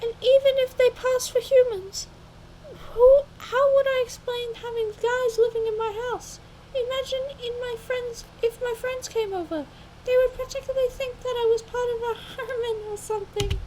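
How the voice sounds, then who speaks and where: Putting on a squeaky character voice, a woman speaks at an extremely high pitch and a moderate pace with fairly even intonation. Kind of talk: casual let's-play reading. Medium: solo performance. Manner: stumbling, self-correcting.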